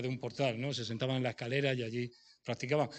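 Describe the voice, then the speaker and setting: Against a quiet background, a man speaks at a medium pitch with monotone, flat intonation. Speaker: preacher. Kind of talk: sermon. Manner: fast.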